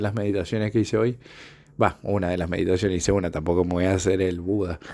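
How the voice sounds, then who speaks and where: A man's fairly low voice, very fast and monotone with flat intonation. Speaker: podcaster. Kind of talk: reflective solo monologue. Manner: halting, many filler sounds.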